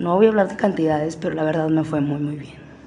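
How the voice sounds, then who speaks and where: With audible room echo around her, a woman speaks with a very deep, low pitch. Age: 20s. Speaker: exotic dancer. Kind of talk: personal storytelling. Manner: casual, with fillers and self-corrections.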